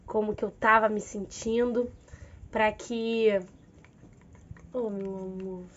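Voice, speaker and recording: Her pitch fairly high and varying in an ordinary way, a woman speaks very slowly. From Rio de Janeiro. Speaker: physical education teacher. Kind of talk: casual talk to camera.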